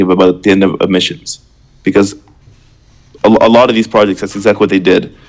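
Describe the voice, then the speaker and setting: With a Canadian accent, a man talks at a very fast pace in a fairly low pitch. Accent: Canadian, noticeable. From Canada, Ontario. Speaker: crypto project founder. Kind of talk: live Q&A stream. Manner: casual, filler-heavy.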